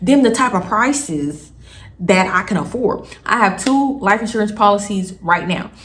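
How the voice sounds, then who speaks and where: The speech moves at a moderate pace with ordinary pitch variation. Audible room echo surrounds the voice. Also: woman. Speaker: storytime vlogger. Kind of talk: casual storytelling vlog. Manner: casual, conversational.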